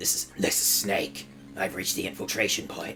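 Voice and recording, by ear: Someone puts on a character voice at a moderate pace, with clear background noise.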